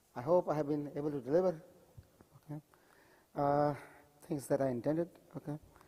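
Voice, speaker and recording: Speaking at a very fast pace, a man keeps a fairly even intonation but leaves long, frequent pauses. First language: not English. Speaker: mosque teacher. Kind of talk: lecture. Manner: frequent 'okay' fillers.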